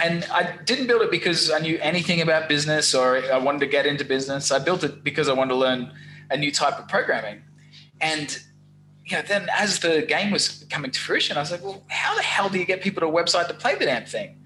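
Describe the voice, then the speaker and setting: With an Australian accent, a man speaks at a very fast pace. His pitch is fairly high and varies in an ordinary way. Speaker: SEO business owner. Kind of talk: podcast interview. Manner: casual, animated.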